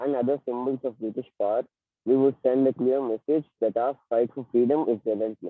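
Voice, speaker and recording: A quiet man's voice at medium pitch, fairly quick, with fairly even intonation. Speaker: elocution contestant. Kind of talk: speech. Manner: too quiet.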